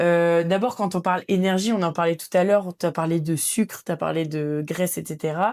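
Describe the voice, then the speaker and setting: On a very clean recording with a silent background, a woman with a fairly low pitch speaks at a moderate pace with hardly any pauses, in an unremarkable speaking voice. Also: fairly even intonation. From northern France. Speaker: physiotherapist and rugby player. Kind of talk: podcast interview.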